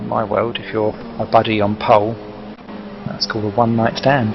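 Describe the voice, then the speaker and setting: Over music in the background, a man of medium pitch speaks at a fairly quick pace with an East Anglian accent. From East Anglia, England. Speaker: sim racing commentator. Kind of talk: live commentary. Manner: animated.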